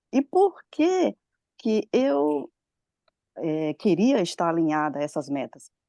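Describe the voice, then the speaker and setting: A woman speaks with a dark, mellow tone and very wide pitch swings. The sound is dry and close with no echo. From Brazil. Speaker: study group participant. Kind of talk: group discussion contribution. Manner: halting.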